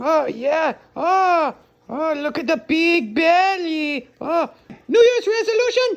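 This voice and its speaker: An extremely high-pitched, cartoonish character voice delivered at a very slow pace. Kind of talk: comedic vlog to camera. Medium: puppet.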